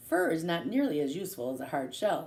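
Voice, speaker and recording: A put-on character voice at a fairly quick pace. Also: woman. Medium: read story. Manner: polite, gentle.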